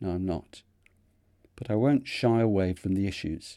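A man with a Mancunian accent talks at a moderate pace, his fairly low-pitched voice dark and mellow in a very clean recording with a silent background. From northern England, Manchester. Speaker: retired vicar and theologian. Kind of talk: scripted narration.

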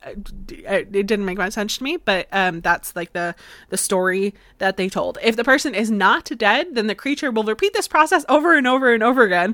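With an American accent and lively intonation, a woman talks at a fairly quick pace with big swings in loudness, captured in a very clean recording with a silent background. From Florida. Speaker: history podcast host. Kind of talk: solo podcast storytelling. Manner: casual, frequent fillers and laughs.

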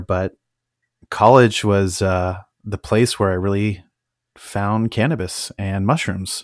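With a West Coast accent, a man speaks fairly slowly at a fairly low pitch with fairly even intonation in a dry, close sound with no echo. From California, Napa Valley. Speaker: podcast host, hobby cannabis grower. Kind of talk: solo monologue, personal story. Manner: casual with many filler words.

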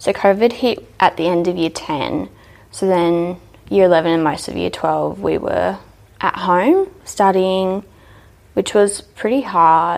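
A woman talks in an Australian accent. Her pace is very slow. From Australia, New South Wales (Dubbo). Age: young. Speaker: hairdressing apprentice. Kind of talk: interview, personal story.

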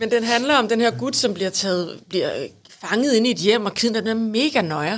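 This woman has an ordinary speaking voice, fairly high in pitch. Her pace is moderate and her pitch variation ordinary. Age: 40s. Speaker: podcast co-host. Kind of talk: casual chat.

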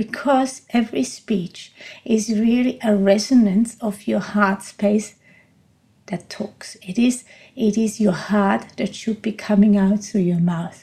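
Very slowly, a woman speaks with a non-native accent, somewhat breathy. Her tone is dark and mellow, her intonation fairly even. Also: medium pitch for a woman. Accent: noticeable non-native. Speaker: podcast host and coach. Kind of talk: monologue podcast talk on voice training. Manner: reflective, speaks from the heart, unscripted.

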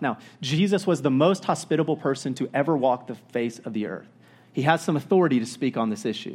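A man with an American accent talks at a fairly quick pace in an unremarkable speaking voice, set against a quiet background. His pitch is fairly high, and his intonation is lively. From Florida. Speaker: pastor. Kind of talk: sermon. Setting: church. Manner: casual.

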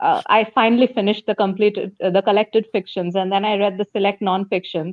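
A woman with an unremarkable speaking voice, a medium pitch and fairly even intonation. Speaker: book and comics reviewer. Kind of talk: casual chat. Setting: video call.

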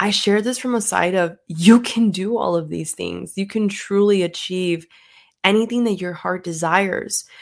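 Her pitch sits at a medium level, in an unremarkable speaking voice. The woman keeps a moderate pace with fairly even intonation. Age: 20s. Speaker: podcast host, real estate agent. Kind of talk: motivational monologue. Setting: solo microphone recording.

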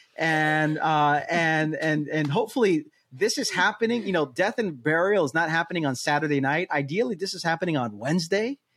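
Using an ordinary speaking voice, a man with a fairly high pitch and lively intonation talks with hardly any pauses. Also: fairly quick pace. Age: 40s. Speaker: lead pastor, podcast co-host. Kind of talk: casual chat.

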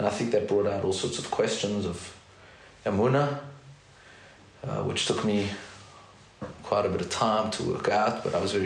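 The man's speech, with fairly even intonation and a moderate tempo, comes through noticeable noise in the background. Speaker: therapist and educator. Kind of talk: casual interview.

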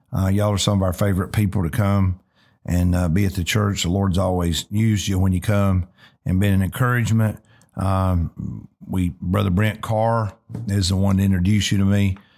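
A man with a Southern US accent speaks at a moderate pace and a fairly low pitch, monotone and flat with very even loudness. The recording is very clean with a silent background. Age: 50s. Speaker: pastor and podcast host. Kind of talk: casual interview.

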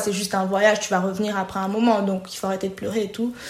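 Background noise is noticeable and room echo is audible. A woman speaks at a medium pitch with monotone, flat intonation. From DR Congo (Kisangani, Kinshasa). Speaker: payroll manager. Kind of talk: personal story interview.

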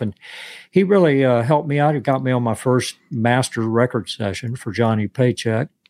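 A man at a moderate pace in a very clean recording, silent background, the sound dry and close with no echo. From Florida (West Palm Beach). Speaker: session and touring guitarist. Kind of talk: interview. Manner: halting.

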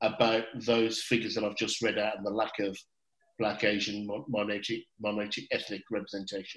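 A man with a Birmingham accent at a fairly quick pace. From England, Birmingham. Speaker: podcast host. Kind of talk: panel discussion.

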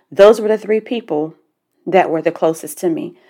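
In a Southern US accent, a woman talks at a fairly quick pace with a dark, mellow tone. The recording is very clean, with a silent background. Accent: southern twang. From US South. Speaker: life coach podcast host. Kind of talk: motivational monologue. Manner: casual.

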